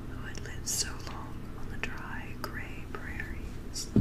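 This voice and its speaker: A woman whispers, taking a fairly slow pace. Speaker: ASMR reader. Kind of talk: audiobook reading. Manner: whispered; soft-spoken, slow. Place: home room. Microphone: studio mic.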